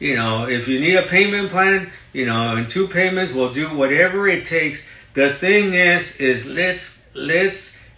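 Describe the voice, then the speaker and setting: Over noticeable background noise and audible room echo, the speaker talks at a fairly slow pace in an animated tone with lively intonation. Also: man. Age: 60s. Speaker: real estate broker. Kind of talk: live stream talk. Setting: live stream in office.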